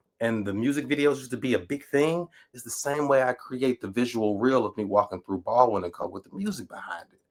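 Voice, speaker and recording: A man with a Southern US accent speaks at a fairly quick pace with lively intonation. The recording is very clean, with a silent background. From Natchez, Mississippi. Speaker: writer, educator, PhD candidate. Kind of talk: podcast interview answer.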